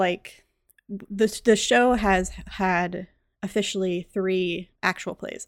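A woman talks at a very slow pace and medium pitch with fairly even intonation and big swings in loudness, in a very clean recording with a silent background. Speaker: podcast host. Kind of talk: casual chat.

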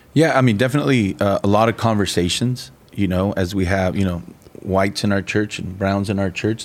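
Pitched fairly low, a man speaks at a fairly quick pace in a normal speaking voice. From Mexican-American family, US. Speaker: pastor and podcast co-host. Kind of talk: casual chat.

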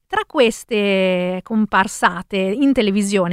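Recorded very cleanly against a silent background, with a dry, close sound and no echo, a woman speaks with a non-native accent at a medium pitch and ordinary pitch variation. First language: not Italian (speaking Italian). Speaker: radio host. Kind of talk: radio music show. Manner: halting.

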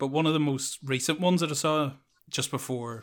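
Speaking in a Northern Irish accent, a man delivers his words in a monotone, flat intonation. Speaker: podcast host. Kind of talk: casual chat. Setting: remote call. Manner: rambling.

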